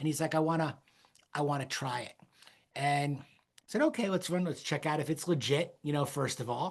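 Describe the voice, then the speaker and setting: This man talks at a fairly quick pace in a plain, everyday voice. His pitch sits fairly high and shows ordinary pitch variation. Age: 50s. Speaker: podcast host. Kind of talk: casual chat.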